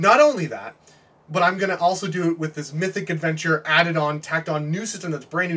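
Speaking at a very fast pace and a high pitch, the man is heard against noticeable background noise. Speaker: tabletop gaming fan. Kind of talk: casual chat.

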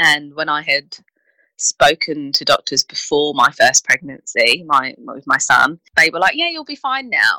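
A woman with a British accent speaks at a fairly slow pace with big swings in loudness, in a dry, close sound with no echo. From UK. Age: 30s. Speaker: infertility support professional. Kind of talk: interview.

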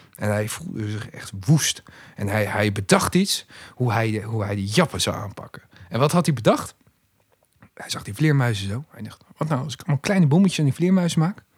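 A man at medium pitch, somewhat breathy and animated, with very wide pitch swings, big swings in loudness and a fairly quick pace. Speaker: podcast guest. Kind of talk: casual chat.

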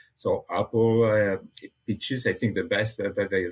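A man speaks at a moderate pace in a Catalan accent. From Catalonia, Spain (near Barcelona). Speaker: animal nutrition research scientist. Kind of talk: interview. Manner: halting, frequent repetitions.

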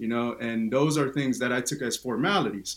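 A man speaks at medium pitch with an American accent. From US West Coast, East Oakland, California. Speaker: Air Force veteran. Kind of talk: interview. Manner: hesitant with many fillers.

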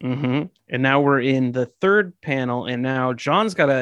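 Against a quiet background, the speaker reads in an unforced reading voice.

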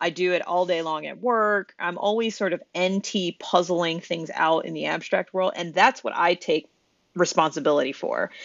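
An unremarkable speaking voice at a moderate pace with ordinary pitch variation. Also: woman, fairly low pitch for a woman. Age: 30s. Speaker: podcast co-host. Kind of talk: casual chat.

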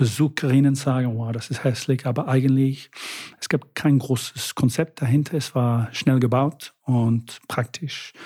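A man with a somewhat breathy, dark, mellow tone speaks at medium pitch and a fairly slow pace, his intonation fairly even, in a very clean recording with a silent background. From Britain. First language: English (speaking German). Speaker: city tour guide. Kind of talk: casual interview. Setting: living room. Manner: halting.

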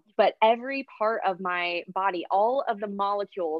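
With an American accent, a woman speaks in a normal speaking voice at medium pitch with ordinary pitch variation. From US Oklahoma. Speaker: romance author. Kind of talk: casual interview chat.

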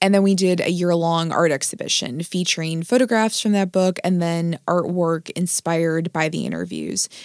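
A normal speaking voice from a woman, fairly low in pitch, with fairly even intonation, a moderate pace and hardly any pauses, on a very clean recording with a silent background and a dry, close sound with no echo. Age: 30s. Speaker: author and publisher. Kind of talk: interview.

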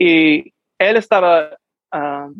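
A man talks with an American accent. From New Mexico, US. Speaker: actor and musician. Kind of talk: interview. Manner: halting.

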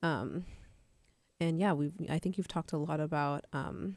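In a very clean recording with a silent background, a woman with a very deep, low pitch and vocal fry talks at a moderate pace. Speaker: college radio host. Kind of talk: radio show hosting. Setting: studio.

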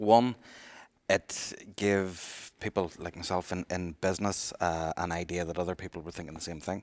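A man speaks at a moderate pace with a very deep, low pitch and fairly even intonation, though his loudness swings widely. The recording is very clean with a silent background and a dry, close sound with no echo. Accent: Northern Irish. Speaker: retail industry representative. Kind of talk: casual discussion.

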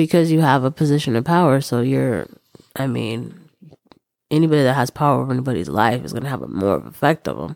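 This woman talks very fast in a very deep, low voice with vocal fry and lively intonation. The sound is dry and close, with no echo. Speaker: podcast co-host. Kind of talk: casual chat.

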